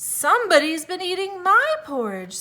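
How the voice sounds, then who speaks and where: A woman performs a put-on character voice at an extremely high pitch. She keeps it raised and projected. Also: moderate pace. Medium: read story.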